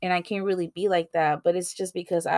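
A woman's fairly low voice at a moderate pace with ordinary pitch variation, dry and close with no echo, in a very clean recording over a silent background. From US, Mexican-American family. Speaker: podcast host. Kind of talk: casual solo monologue. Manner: casual, filler-heavy.

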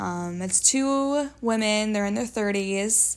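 In a very clean recording with a silent background, a woman with an American accent talks at a fairly slow pace, her fairly high pitch showing ordinary pitch variation. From Wisconsin. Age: 20s. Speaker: podcast co-host. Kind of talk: casual chat.

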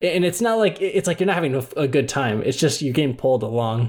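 This is a man with a normal speaking voice. His pitch is fairly high and his intonation lively. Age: 20s. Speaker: podcast co-host. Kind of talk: casual chat.

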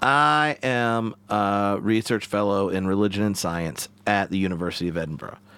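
A man with a Southern US accent speaks at a moderate pace in a fairly low, bright and sharp voice, with ordinary pitch variation and hardly any pauses, on a very clean recording with a silent background. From US South. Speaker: theologian and podcast host. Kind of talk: casual interview. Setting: in person studio in Glasgow.

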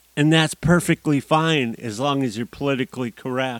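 In a very clean recording with a silent background and a dry, close sound with no echo, a man with an American accent uses a plain, everyday voice, fairly high-pitched, with ordinary pitch variation. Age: 50s. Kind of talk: solo monologue podcast.

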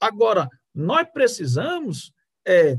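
Very slowly and with very wide pitch swings, a man speaks in a high pitch, the sound dry and close with no echo over a quiet background. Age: 50s. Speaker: jurist and lawyer. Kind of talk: political discussion. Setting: live video stream. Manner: formal.

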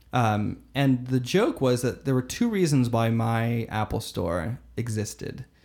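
An unremarkable speaking voice from a man with an American accent, fairly slow with hardly any pauses and ordinary pitch variation, on a very clean recording with a silent background. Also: medium pitch for a man. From US South, Florida (Fort Myers). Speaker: learning and development lead at a digital agency. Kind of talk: casual interview conversation.

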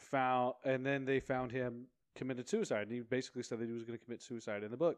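A man with an ordinary speaking voice talks at a fairly quick pace in a medium pitch. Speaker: podcast co-host. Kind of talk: casual chat.

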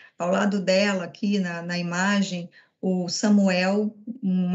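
A woman speaks very slowly in a flat monotone. Her voice is somewhat breathy. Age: 40s. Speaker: corporate events coordinator. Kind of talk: corporate webinar panel talk.

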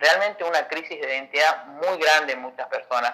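The speaker is a man. He shows ordinary pitch variation. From Argentina, Salta. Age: 30s. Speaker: pastor. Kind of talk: casual chat.

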